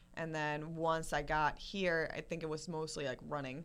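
A woman speaks with a Spanish accent in a very deep, low voice. Her intonation is monotone and flat, and her pace is moderate. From Colombia, raised in US. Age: 20s. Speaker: fitness influencer.

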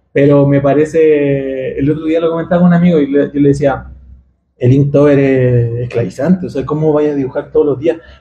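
Somewhat breathy, this man talks at a moderate pace with fairly even intonation and a fairly high pitch. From Chile, Santiago. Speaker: illustrator. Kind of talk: interview. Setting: recording booth at a festival.

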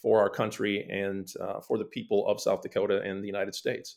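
A man with an American accent on a very clean recording, background silent. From US Midwest, small town. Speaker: political candidate, retired military lawyer. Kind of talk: interview.

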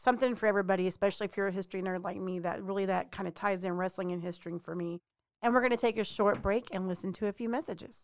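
With an American accent, a woman speaks very fast at medium pitch with fairly even intonation on a very clean recording with a silent background. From Texas. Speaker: podcast co-host. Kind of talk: casual chat.

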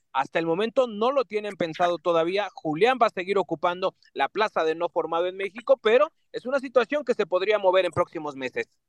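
A man talks at a fairly quick clip in a high voice, with lively intonation and hardly any pauses. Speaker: club beat reporter. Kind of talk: radio sports report.

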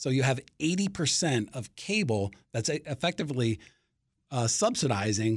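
In an ordinary speaking voice with an American accent, a man talks at a moderate pace and medium pitch, his intonation lively, on a very clean recording with a silent background. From Washington, D.C. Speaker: sports media reporter. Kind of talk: interview.

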